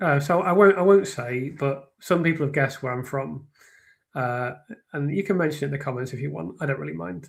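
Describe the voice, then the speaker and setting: A man with a slight northern English accent speaks at a fairly quick pace in a fairly high, somewhat breathy voice. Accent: slight, flattened northern English. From northern England. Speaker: true crime commentator and writer. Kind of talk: live stream discussion. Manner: halting, many fillers and restarts; clear, careful speech.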